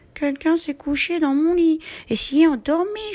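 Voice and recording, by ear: In a put-on character voice, a woman talks at a moderate pace. Her pitch is extremely high and squeaky.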